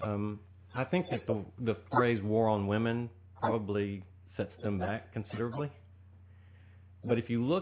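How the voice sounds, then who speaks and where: A man with an East Texas accent at a moderate pace. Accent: East Texas Southern US. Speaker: political candidate. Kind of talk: radio interview.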